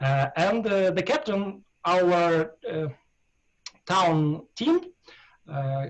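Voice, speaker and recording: A man with a Russian accent talks at a very slow pace, leaving long, frequent pauses. His pitch is high and his intonation lively. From Russia, Ural region. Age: 40s. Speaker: darts player. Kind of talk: interview. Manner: halting, many hesitations.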